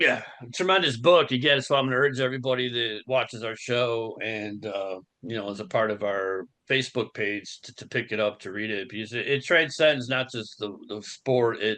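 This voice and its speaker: A man with an American accent and a bright, sharp tone speaks at a medium pitch and a moderate pace, with ordinary pitch variation. His loudness swings widely against a quiet background. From Buffalo, New York. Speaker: podcast host. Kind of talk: casual chat.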